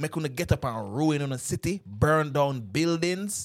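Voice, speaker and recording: An animated tone in a Jamaican accent, on a very clean recording with a silent background. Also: man. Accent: Jamaican patois. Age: 30s. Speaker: podcast guest. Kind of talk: casual chat.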